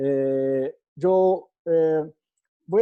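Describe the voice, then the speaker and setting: The speaker has a Portuguese accent and ordinary pitch variation. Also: man. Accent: Portuguese-accented Spanish (portuñol). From Brazil. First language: Portuguese (speaking Spanish). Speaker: architecture professor. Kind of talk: lecture. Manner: halting, many fillers.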